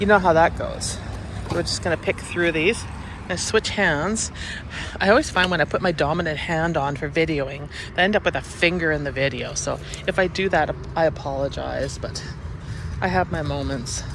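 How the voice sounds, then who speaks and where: A moderate pace with long, frequent pauses, in a Canadian accent, over noticeable background noise. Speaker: gardening vlogger. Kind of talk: casual walk-through vlog.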